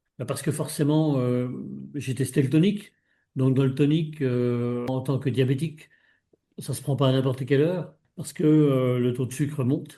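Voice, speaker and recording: A man with a dark, mellow, somewhat breathy tone speaks at a medium pitch and moderate pace, his intonation fairly even, with long, frequent pauses. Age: 70s. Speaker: retired mountain guide, consumer giving testimony. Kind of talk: interview testimony. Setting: video call. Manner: hesitant, many fillers.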